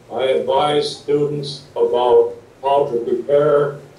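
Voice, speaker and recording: A man with an American accent, with audible room echo and noticeable background noise. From US Midwest, Wisconsin. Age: 60s. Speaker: retired teacher and guidance counselor. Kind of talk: interview talk, paused for interpreter.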